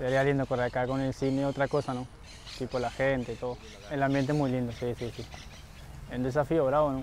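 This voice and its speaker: A man talks at a fairly quick pace with a medium pitch. His intonation stays monotone and flat. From Uruguay, Montevideo. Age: 20s. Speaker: jockey. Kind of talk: interview. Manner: halting.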